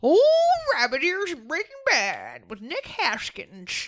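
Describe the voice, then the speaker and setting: In a put-on character voice, a woman speaks very slowly at an extremely high pitch with very wide pitch swings. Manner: gruff, wheezy.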